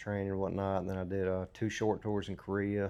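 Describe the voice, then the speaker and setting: In a Southern US accent, a man with a fairly low voice talks at a moderate pace against a quiet background. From US South, Mississippi. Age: 40s. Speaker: military veteran. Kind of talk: testimony. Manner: halting, many fillers.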